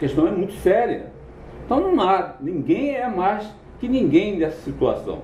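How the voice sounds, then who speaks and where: Audible room echo surrounds a man who speaks at a fairly slow pace with very wide pitch swings. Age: 60s. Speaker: political commentator. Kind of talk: political commentary monologue. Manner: halting, self-correcting.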